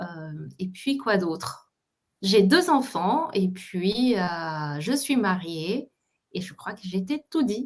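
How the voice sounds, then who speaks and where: A somewhat breathy voice at a very slow pace, with long, frequent pauses, very wide pitch swings and big swings in loudness. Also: woman, medium pitch for a woman. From Colombia. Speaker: entrepreneur coach. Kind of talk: interview. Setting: online live stream.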